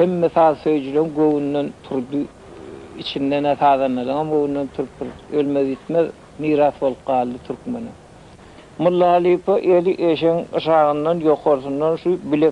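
At a moderate pace, a man talks with fairly even intonation over light background noise. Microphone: old recording.

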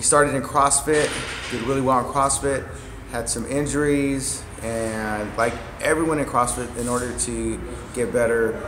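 At a moderate pace, a man talks with fairly even intonation amid noticeable background noise. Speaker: gym coach hosting an interview. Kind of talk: casual interview chat. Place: gym. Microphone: phone near.

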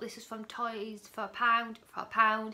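A woman talks over noticeable background noise. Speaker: parent vlogger. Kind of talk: casual vlog chat. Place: home room. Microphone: phone near.

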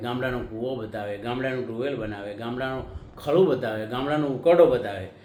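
A man's voice carries audible room echo. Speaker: YouTube commentator. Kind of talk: monologue to camera.

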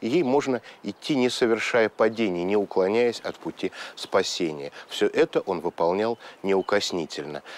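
Lively intonation carries a man's speech at a moderate pace. The sound is dry with no echo. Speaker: presenter. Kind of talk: documentary narration to camera. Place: garden.

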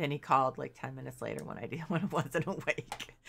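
A moderate pace with music in the background. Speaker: game streamer. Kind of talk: casual gameplay commentary. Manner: casual, hesitant with fillers.

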